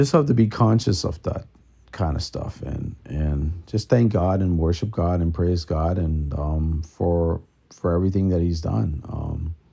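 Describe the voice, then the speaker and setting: Somewhat breathy and dark, mellow in tone, a man speaks at a fairly slow pace in a very deep, low pitch with lively intonation. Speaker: podcast host, songwriter and church musician. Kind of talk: casual monologue podcast. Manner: hesitant, many fillers.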